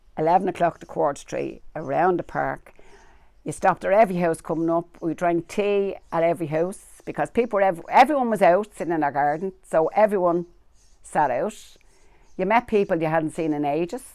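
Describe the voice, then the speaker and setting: Her voice has a dark, mellow tone and a fairly low pitch as this woman speaks at a fairly quick pace. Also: ordinary pitch variation. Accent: Dublin. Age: 70s. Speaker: local resident. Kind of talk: interview.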